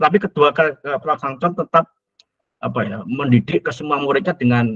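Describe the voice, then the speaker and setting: Moderate pace and ordinary pitch variation from a man, over a quiet background. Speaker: university lecturer. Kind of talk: lecture. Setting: video call. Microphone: video call.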